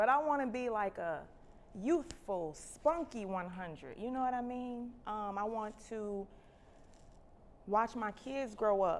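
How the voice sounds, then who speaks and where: A woman's normal speaking voice, fairly high in pitch with ordinary pitch variation, at a fairly slow pace and with an American accent. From Chicago. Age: 30s. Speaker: nurse and health education host. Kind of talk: livestream health talk. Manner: casual, conversational.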